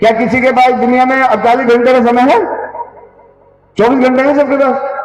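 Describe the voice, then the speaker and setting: A man at an extremely high pitch and a moderate pace, fairly even in intonation, amid noticeable background noise and audible room echo. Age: 60s. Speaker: party politician. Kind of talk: political speech.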